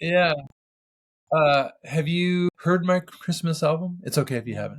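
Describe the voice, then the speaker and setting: A man's somewhat breathy voice moves along at a medium tempo. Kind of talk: interview. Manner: stutter.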